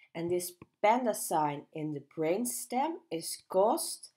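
A woman's fairly low voice with very wide pitch swings, on a very clean recording with a silent background. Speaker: neuroradiology lecturer. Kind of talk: medical educational narration.

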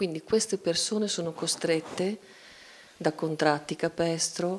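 A woman speaks at a fairly slow pace in a fairly low voice with ordinary pitch variation. She has an unremarkable speaking voice. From Italy. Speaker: cartoonist; guest. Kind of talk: panel discussion. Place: hall. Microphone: handheld.

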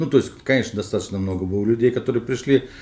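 A man talks with ordinary pitch variation. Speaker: political scientist. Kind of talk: panel discussion. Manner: halting.

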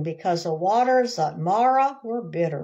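Lively intonation carries a slightly mellow tone. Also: woman.

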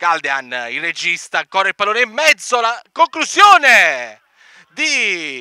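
A man's raised, projected voice, high in pitch, bright and sharp in tone, with very wide pitch swings at a very slow pace. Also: dry, close sound with no echo. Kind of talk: live sports commentary.

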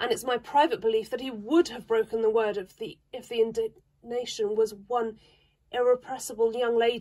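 The clip carries an unforced reading voice.

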